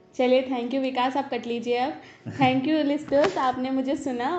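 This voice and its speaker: A woman talks at a high pitch and moderate pace over noticeable background noise. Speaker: talk show host, voice-over artist and novelist. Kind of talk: casual interview chat. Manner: chatty, playful.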